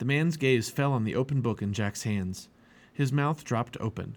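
The pitch varies in an ordinary way. The words are read aloud in a natural voice.

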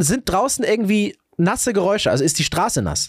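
In a dry, close sound with no echo, a man with a high voice talks at a moderate pace, his animated tone marked by very wide pitch swings. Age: 40s. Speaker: podcast host, father. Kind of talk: casual chat.

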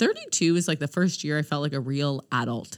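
At a fairly quick pace, a woman speaks in an animated tone. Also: very clean recording, silent background. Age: 30s. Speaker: podcast co-host. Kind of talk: casual chat. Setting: studio.

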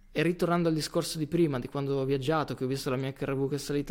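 Fairly high in pitch, the man speaks with fairly even intonation. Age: 20s. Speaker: physiotherapist. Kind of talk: interview conversation.

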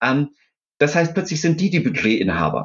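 Pitch swings very widely. Vocal fry runs through the voice. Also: man. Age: 50s. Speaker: startup founder and CEO. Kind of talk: interview. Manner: hesitant, many filler sounds.

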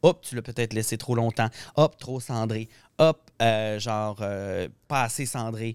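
On a very clean recording with a silent background and a dry, close sound with no echo, a man of medium pitch speaks at a very slow pace with fairly even intonation. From Saguenay, Quebec. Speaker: hairdresser and colorist. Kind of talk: casual chat.

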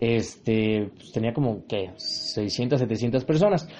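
A man speaks in an animated tone with a Mexican accent. Music plays in the background. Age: 20s. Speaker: podcast host. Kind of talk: casual monologue.

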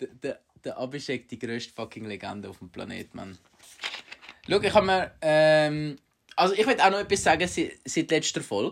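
A man's fairly high pitch with very wide pitch swings, big swings in loudness, a moderate pace and long, frequent pauses. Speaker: podcast host. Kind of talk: casual chat. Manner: animated.

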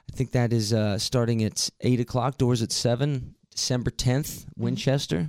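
A man with an American accent speaks in an ordinary speaking voice at medium pitch and a moderate pace, with fairly even intonation. His loudness stays very even, there are hardly any pauses, and the sound is dry and close with no echo. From West Virginia, Martinsburg. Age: 20s. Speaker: musician. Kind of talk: casual interview. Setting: studio.

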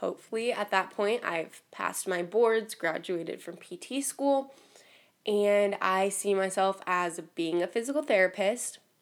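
A woman speaks in a normal speaking voice at a fairly slow pace. Her medium pitch shows ordinary variation. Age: 20s. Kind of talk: casual solo podcast monologue. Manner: casual, filler-heavy.

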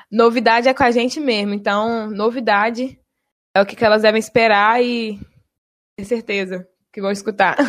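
Moderately paced speech from a woman, fairly high in pitch and fairly even in intonation. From Bahia, Brazil. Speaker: university radio presenter. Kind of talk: casual chat.

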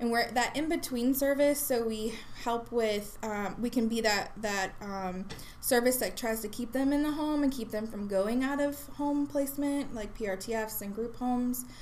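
A woman talks in a plain, everyday voice, pitched fairly high. Her pitch variation is ordinary and her pace moderate. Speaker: regional supervisor at a youth mental health nonprofit. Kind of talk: casual interview.

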